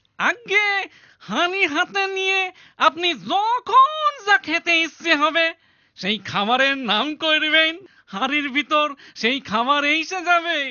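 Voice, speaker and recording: A cartoonish character voice speaks in a high pitch at a fairly slow pace. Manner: pleading, obsequious.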